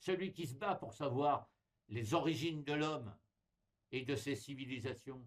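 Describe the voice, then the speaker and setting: Pausing long and often, a man with a fairly high pitch speaks at a fairly slow pace with ordinary pitch variation. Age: 60s. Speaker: explorer and writer appealing to followers. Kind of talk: direct-to-camera appeal. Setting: recorded video at home, not live. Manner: animated, emphatic.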